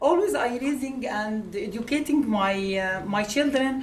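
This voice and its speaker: With an Arabic accent, a woman talks fairly slowly at a high pitch with ordinary pitch variation, and the room echo is audible. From Egypt. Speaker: immigrant writer. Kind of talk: speech at a book launch. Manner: halting, with many fillers.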